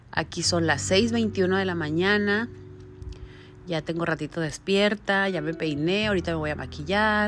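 Recorded very cleanly with a silent background, a woman uses a normal speaking voice at a fairly slow pace with ordinary pitch variation. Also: fairly low pitch for a woman. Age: 40s. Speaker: podcaster and direct-sales entrepreneur. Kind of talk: personal monologue. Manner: conversational.

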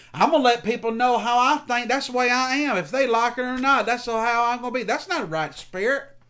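A man with a Southern US accent, extremely high-pitched and bright, sharp in tone, raised and projected, fairly quick, with ordinary pitch variation. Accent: Southern American. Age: 40s. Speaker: pastor. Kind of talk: sermon.

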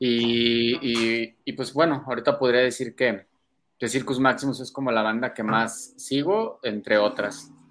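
Speaking fairly slowly, a man with an unremarkable speaking voice keeps a medium pitch and fairly even intonation. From Mexico, Guadalajara. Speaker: metal guitarist. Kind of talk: casual interview chat.

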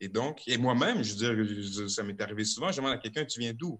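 Against a quiet background, a man with an ordinary speaking voice talks at medium pitch with lively intonation. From Quebec City (Limoilou). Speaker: rapper. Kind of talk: casual chat. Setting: video call.

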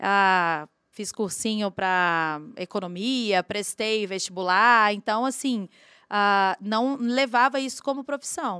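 At a very slow pace, a woman of medium pitch speaks in a bright, sharp tone with ordinary pitch variation, in a very clean recording with a silent background and a dry, close sound with no echo. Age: 40s. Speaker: singer and songwriter. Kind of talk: casual chat.

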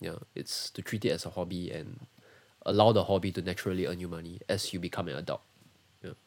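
On a very clean recording with a silent background, a man with a Singaporean accent talks at a very fast pace, his pitch very deep and low, with ordinary pitch variation and big swings in loudness. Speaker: sound engineer. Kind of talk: casual interview. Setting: livestream.

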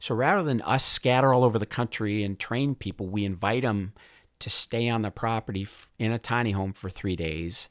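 In a very clean recording with a silent background and a dry, close sound without echo, a man with an American accent talks in a normal speaking voice at medium pitch, with ordinary pitch variation and a moderate pace. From northern Minnesota. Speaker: semiconductor executive and army veteran. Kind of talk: interview conversation.

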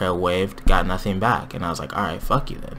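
A man rattles off his words very fast while noticeable background noise persists. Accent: American. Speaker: podcast host. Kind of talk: casual chat. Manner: casual, joking.

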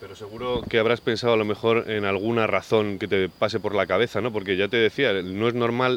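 A man's unremarkable speaking voice, fairly low in pitch, with fairly even intonation at a moderate pace. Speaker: podcast host. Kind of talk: interview; scripted narration. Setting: outdoors.

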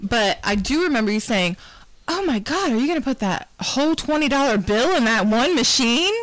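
Over noticeable background noise, a woman speaks at a high pitch with very wide pitch swings and very even loudness. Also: moderate pace. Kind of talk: casual chat.

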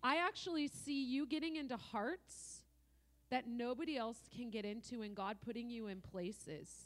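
Her voice is a plain, everyday voice, fairly high for a woman, with lively intonation. She keeps a moderate pace. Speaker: visiting prophetic minister.

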